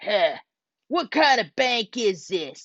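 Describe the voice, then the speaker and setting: A woman performs a put-on character voice at a fairly high pitch. Her pitch swings very widely. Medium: read story.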